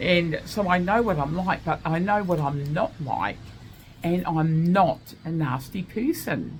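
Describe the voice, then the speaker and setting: Her tone animated and her pitch fairly low, a woman speaks at a fairly slow pace. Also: ordinary pitch variation. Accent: Australian. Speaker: vlogger. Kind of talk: casual monologue. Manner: loud.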